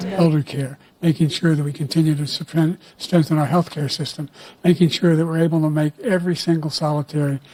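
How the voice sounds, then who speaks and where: Somewhat breathy and fairly high-pitched, a man talks at a fairly quick pace with fairly even intonation in a dry, close sound with no echo. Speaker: president. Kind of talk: debate answer. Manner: halting, stumbling.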